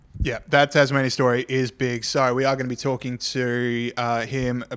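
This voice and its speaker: Talking at a fairly quick pace, a man has a medium pitch and an Australian accent. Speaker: podcast host. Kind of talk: casual chat. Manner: fast.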